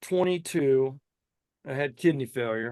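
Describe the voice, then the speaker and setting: A man talks at a very slow pace. His pitch variation is ordinary, and the background is quiet. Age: 50s. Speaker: truck driver and singer. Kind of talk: casual chat.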